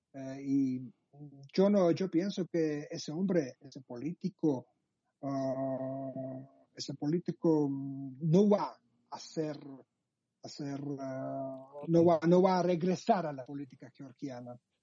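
A man talks at a very slow pace. His pitch is fairly high, with ordinary variation. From Georgia (Abkhazia, Sukhumi). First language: Georgian (speaking Spanish). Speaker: journalist. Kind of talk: interview. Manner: halting.

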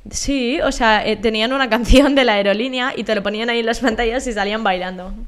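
With audible room echo, a woman's fairly high voice moves in fairly even intonation. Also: fairly quick pace. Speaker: podcast co-host, university student. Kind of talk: casual chat.

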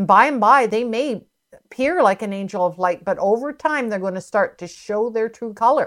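Recorded very cleanly with a silent background, a woman has an unremarkable speaking voice pitched fairly high. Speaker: minister. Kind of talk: sermon.

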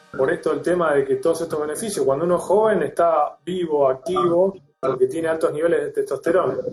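Speaking with a Rioplatense accent at a very fast pace, the voice has hardly any pauses while music plays in the background. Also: man. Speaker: doctor. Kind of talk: interview.

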